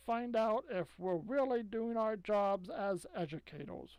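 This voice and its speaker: A female-sounding, put-on character voice speaks at a fairly slow pace with a fairly high pitch. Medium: read story. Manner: purring, silky.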